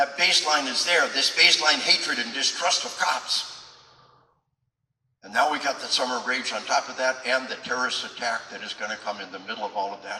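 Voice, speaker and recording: Talking at a fairly quick pace and medium pitch, a man's loudness swings widely amid audible room echo. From Arkansas. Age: 60s. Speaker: retired military officer and police trainer. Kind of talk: public speech. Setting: event hall with audience. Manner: impassioned.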